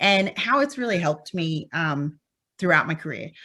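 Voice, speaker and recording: A voice with a slight Australian accent, bright and sharp in tone, moving at a fairly quick pace with very wide pitch swings. The recording is very clean, with a silent background. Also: woman. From Western Australia, Perth. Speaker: petroleum engineer, consultant. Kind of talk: conference talk. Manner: frequent filler words (um).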